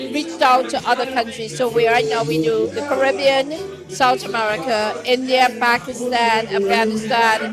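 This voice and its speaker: Speech with hardly any pauses over music in the background. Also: moderate pace. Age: 60s. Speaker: coffee business owner. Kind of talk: casual interview.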